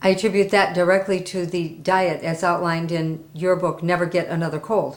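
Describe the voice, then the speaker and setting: A woman has a plain, everyday voice at a fairly low pitch. She keeps a moderate pace with fairly even intonation. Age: 60s. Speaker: testimonial giver, interpreter. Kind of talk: interview testimony.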